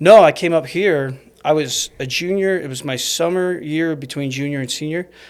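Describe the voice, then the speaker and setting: A man with a plain, everyday voice and fairly high pitch speaks at a moderate pace, with ordinary pitch variation and big swings in loudness. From Arizona (Snowflake). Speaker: investor. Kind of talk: podcast interview. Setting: studio.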